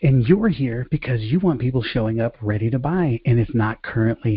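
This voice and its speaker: Talking at a fairly quick pace, a man sounds somewhat breathy and shows ordinary pitch variation. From Bronx, New York City, Puerto Rican heritage. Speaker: sales coach. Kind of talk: online training presentation. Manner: fast; high energy.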